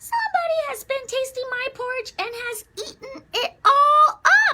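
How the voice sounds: Someone performs a put-on character voice at an extremely high pitch and a moderate pace.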